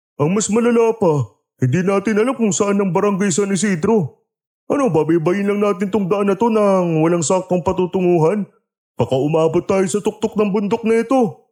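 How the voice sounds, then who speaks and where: A man does a put-on character voice, pitched high for a man, at a moderate pace with ordinary pitch variation and very even loudness. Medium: audio drama. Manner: complaining, blunt.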